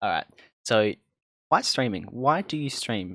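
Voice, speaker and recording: A man talks at a moderate pace with ordinary pitch variation. The recording is dry and close with no echo, over a quiet background. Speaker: podcast host. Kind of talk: casual chat. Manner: loud.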